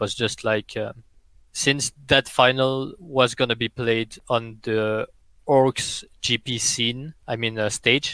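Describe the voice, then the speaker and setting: On a very clean recording with a silent background, a man with a French accent speaks very slowly in a bright, sharp tone, the sound dry and close with no echo. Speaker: esports player and caster. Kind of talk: podcast interview.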